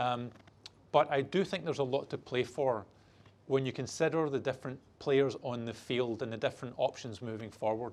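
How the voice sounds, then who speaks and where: At a moderate pace, a man uses a normal speaking voice with medium pitch and fairly even intonation. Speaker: banking executive giving keynote. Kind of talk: keynote talk.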